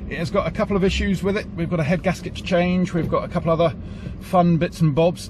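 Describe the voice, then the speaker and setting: A man speaks with fairly even intonation, the sound dry with no echo but with noticeable background noise. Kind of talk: casual vlog chat. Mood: cheerful, jokey. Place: car. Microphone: phone near.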